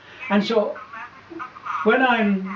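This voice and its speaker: A man speaks in a high pitch. Audible room echo and noticeable background noise surround his voice. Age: 80s+. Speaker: Franciscan friar. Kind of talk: interview. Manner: halting.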